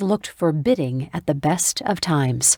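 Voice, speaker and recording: A woman with a plain, everyday voice speaks at a moderate pace with lively intonation. The recording is very clean, dry and close, with a silent background and no echo. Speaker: audiobook narrator. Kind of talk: audiobook narration.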